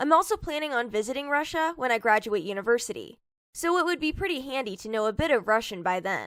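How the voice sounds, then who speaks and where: Very wide pitch swings mark a woman's high voice at a very fast pace. The recording is very clean, with a silent background. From Hong Kong. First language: Cantonese. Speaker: IELTS speaking sample candidate. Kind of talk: scripted mock exam interview.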